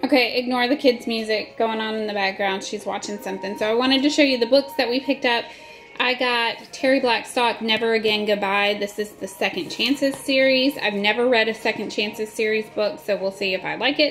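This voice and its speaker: A woman's fairly quick speech with hardly any pauses, over clear music in the background. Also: ordinary pitch variation. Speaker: vlogger. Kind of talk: casual vlog chat. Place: home room. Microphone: phone near.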